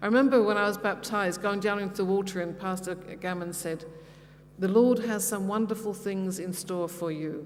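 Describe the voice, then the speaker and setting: The speaker has a London accent and fairly even intonation. Audible room echo surrounds the voice. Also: woman, medium pitch for a woman, moderate pace. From London, England. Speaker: pastor's wife giving mission talk. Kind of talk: personal testimony talk. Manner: hesitant, with many fillers.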